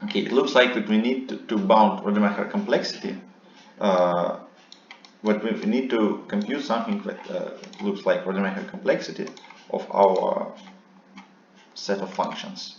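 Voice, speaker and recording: Audible room echo and noticeable background noise surround a man who leaves long, frequent pauses. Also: moderate pace. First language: non-English. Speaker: seminar instructor. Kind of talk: lecture. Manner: halting, many fillers.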